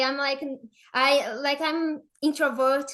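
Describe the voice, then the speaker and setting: Bright and sharp in tone, a woman with a Brazilian Portuguese accent speaks at a high pitch. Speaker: affiliate marketer. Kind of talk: podcast interview. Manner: halting, many fillers.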